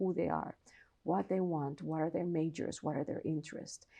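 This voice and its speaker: A woman speaks with a Colombian accent in a dark, mellow tone. The background is quiet. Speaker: philosophy professor. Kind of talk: interview.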